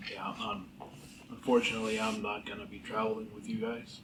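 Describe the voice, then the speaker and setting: In a put-on character voice, a man speaks fairly quickly and raspily, with audible echo. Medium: actual play. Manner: friendly, earnest.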